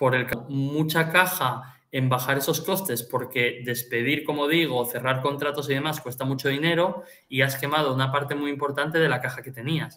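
The man's voice has a bright, sharp tone and a fairly high pitch. He keeps a moderate pace with ordinary pitch variation. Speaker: finance podcast host. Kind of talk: financial analysis; casual chat.

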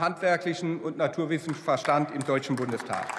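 A man talks, his pitch varying in an ordinary way. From Germany, Rhineland-Palatinate. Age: 60s. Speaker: politician. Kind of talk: parliamentary speech. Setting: parliament chamber. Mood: warm, reflective, grateful. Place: hall. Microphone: podium.

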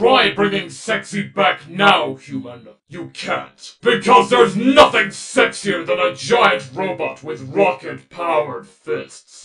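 A man puts on a character voice. He talks with hardly any pauses. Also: fairly slow pace. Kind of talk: comic overacting. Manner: pompous, menacing, robotic declarations.

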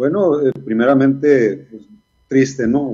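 Against a quiet background, a man with a dark, mellow tone talks at a fairly slow pace with ordinary pitch variation. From Sonora, Mexico (Ciudad Obregón); Sonora. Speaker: retired baseball player and coach; interviewee. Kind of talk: interview. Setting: video call. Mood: reflective, nostalgic. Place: home room. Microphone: video call.

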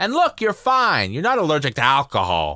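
A man's cartoonish character voice, fairly high in pitch, with very wide pitch swings, a bright, sharp tone and a moderate pace.

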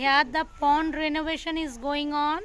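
At a very slow pace, a woman with a high pitch speaks in a dry recording with no echo and light background noise. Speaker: village vlogger. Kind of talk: casual vlog commentary. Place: open country. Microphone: phone near.

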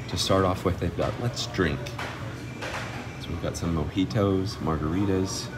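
Clear music sounds behind the voice. The man talks at a moderate speed. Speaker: restaurant vlogger. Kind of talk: casual vlog chat. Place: cafe. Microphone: phone near.

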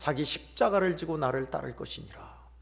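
With audible room echo, a man at a fairly high pitch talks at a moderate pace with lively intonation. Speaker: pastor. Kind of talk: sermon. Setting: church.

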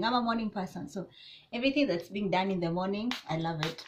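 A woman speaks in a somewhat breathy voice with ordinary pitch variation. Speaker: vlogger. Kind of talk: casual vlog chat. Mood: relaxed and cheerful. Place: home room. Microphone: camera far.

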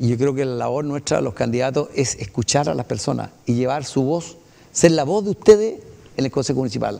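A man speaks at a fairly quick pace in a dark, mellow tone. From Chile. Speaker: municipal council candidate, retired pilot. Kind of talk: interview. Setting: TV studio. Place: studio. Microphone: lapel.

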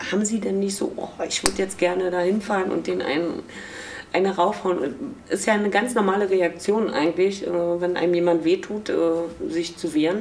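A woman of medium pitch at a moderate pace, with ordinary pitch variation and light background noise. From East Berlin, Germany. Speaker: former East German youth detainee, contemporary witness. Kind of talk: interview answer. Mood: reflective, emotional memories. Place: office.

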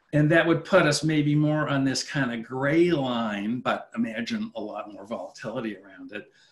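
A man with a Canadian accent talks at a fairly high pitch and moderate pace, his intonation lively, his loudness swinging widely, with hardly any pauses. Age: 50s. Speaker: finance professor. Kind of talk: webinar lecture with Q&A. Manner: halting, repeats words. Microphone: webcam.

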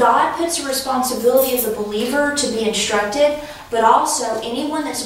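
Light background noise and strong room echo surround a woman speaking at a high pitch. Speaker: class teacher. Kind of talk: lecture. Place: classroom. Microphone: camera far.

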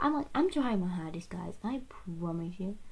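A woman's mumbling, somewhat breathy voice with a dark, mellow tone, lively intonation and a moderate pace. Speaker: makeup vlogger. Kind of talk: casual talk to camera. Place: home room. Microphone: webcam.

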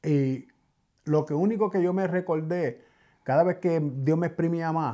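A man's dark, mellow tone comes through with a quiet background. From New York City, Bronx (Puerto Rican family). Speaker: podcast guest. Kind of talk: testimony. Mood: reflective, earnest. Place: studio. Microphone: studio mic.

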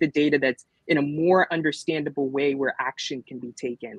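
At a fairly quick pace, the voice carries a slightly husky edge and ordinary pitch variation, recorded with a dry, close sound and no echo. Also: man, fairly high pitch for a man.

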